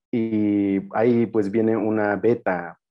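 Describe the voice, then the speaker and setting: Against a quiet background, a man with a Chiapas accent speaks at a fairly low pitch. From Tenejapa, Chiapas, Mexico; Chiapas, Mexico. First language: Tzeltal (speaking Spanish). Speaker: anthropologist and spiritual guide; spiritual guide. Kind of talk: lecture. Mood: calm, warm, reflective. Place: home room. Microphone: video call.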